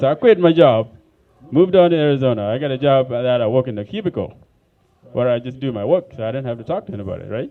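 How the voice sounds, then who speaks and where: Talking at a very fast pace in an African accent, a man with a medium pitch uses lively intonation and big swings in loudness. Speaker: stand-up comedian. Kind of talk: stand-up. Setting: comedy club stage with audience.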